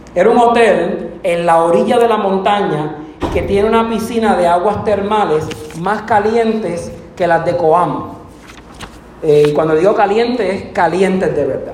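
At a moderate pace with ordinary pitch variation, the voice carries audible room echo and noticeable background noise. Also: man, high pitch for a man. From Puerto Rico. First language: Spanish. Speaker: preacher. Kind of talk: sermon. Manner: bilingual, self-translating.

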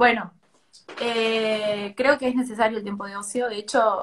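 Medium pitch from a woman at a moderate pace, with fairly even intonation. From Tucumán, Argentina. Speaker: poet and creative writing teacher. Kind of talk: casual interview chat. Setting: Instagram live stream.

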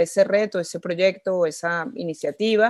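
In a plain, everyday voice, a woman speaks at a moderate pace and medium pitch with fairly even intonation against a quiet background. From Venezuela. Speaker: social entrepreneur. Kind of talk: interview.

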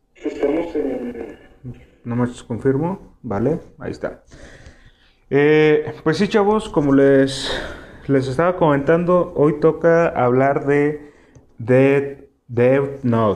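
Speaking at a very slow pace, a man leaves long, frequent pauses. His pitch is fairly high, with ordinary variation. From Mexico, Tijuana (Baja California border). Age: 20s. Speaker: podcast host. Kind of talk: casual solo chat, anime discussion. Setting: live stream on YouTube.

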